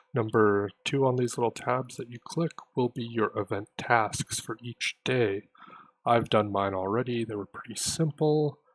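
Quiet and at a fairly slow pace, a man talks with big swings in loudness. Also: medium pitch for a man, ordinary pitch variation. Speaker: gaming youtuber. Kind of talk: tutorial. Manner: quiet, held-back speech. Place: home room. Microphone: voice may be too quiet under game sound; headset.

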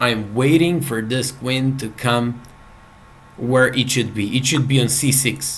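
In a Serbian accent, a man speaks at a very slow pace with a medium pitch and ordinary pitch variation. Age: 30s. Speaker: chess player and streamer; chess player streamer. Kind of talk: live game commentary. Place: home room.

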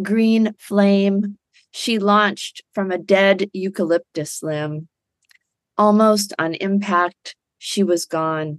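Against a quiet background, a woman speaks at a very slow pace. Her intonation is fairly even, and the sound is dry with no echo. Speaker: poet and podcast host. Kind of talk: poem reading performed, emotive. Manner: emotive, tender. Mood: warm, appreciative. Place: home room. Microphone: webcam.

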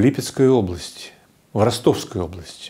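A man's dark, mellow tone with lively intonation. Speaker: physician and institute director. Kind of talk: interview.

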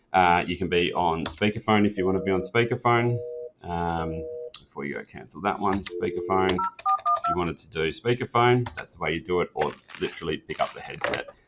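Loud noise fills the background as the man moves at a fairly quick pace, his pitch varying in an ordinary way. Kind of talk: tutorial. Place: meeting room.

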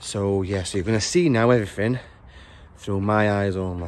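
In a plain, everyday voice, a man talks at a moderate pace with a fairly low pitch and ordinary pitch variation, the sound dry with no echo. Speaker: urban explorer vlogger. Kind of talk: casual vlog chat. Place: open country. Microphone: phone near.

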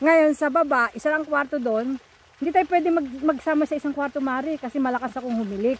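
Very fast and high-pitched, a woman talks with ordinary pitch variation in a dry sound with no echo. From Philippines. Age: 60s. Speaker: vlogger. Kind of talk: casual chat. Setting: outdoors. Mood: cheerful, joking. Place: waterside. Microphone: phone near.

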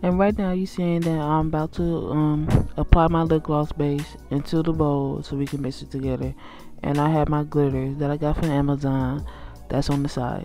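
With music in the background, a woman with an American accent speaks at a very deep, low pitch and fairly even intonation. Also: moderate pace. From Milwaukee, Wisconsin. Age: 20s. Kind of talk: voiceover for a makeup tutorial.

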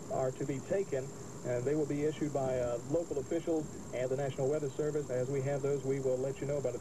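Noticeable background noise sits behind the speech. A man talks at a very fast pace. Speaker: radio weather announcer. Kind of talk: radio weather bulletin. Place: car. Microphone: old recording.

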